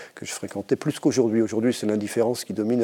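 This man's fairly low voice has a dark, mellow tone and fairly even intonation. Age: middle-aged. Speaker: philosophy professor. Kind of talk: panel discussion. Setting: studio.

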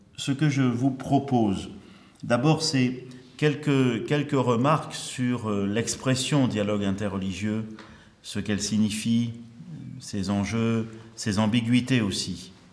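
A man speaks at a very slow pace with long, frequent pauses, his pitch varying in an ordinary way against audible room echo. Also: medium pitch for a man. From Marseille, southern France (early childhood in Algeria). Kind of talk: conference lecture.

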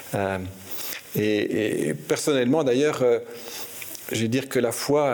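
A man talks at a medium pitch, and noticeable noise sits behind him. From Belgium. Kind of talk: interview. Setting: archbishop's residence. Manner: hesitant, frequent repetitions.

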